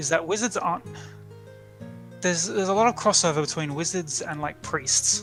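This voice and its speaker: Over music in the background, a man with a high pitch talks at a fairly quick pace with lively intonation and long, frequent pauses. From Australia. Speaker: dungeon master. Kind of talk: casual let's-play conversation.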